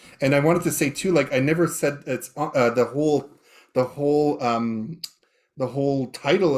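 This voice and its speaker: In a Canadian prairie accent, a man talks at a fairly quick pace. His pitch variation is ordinary. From Canadian prairies, Saskatchewan (Métis). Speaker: professor, event emcee. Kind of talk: panel talk. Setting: video call. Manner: halting, many fillers and restarts.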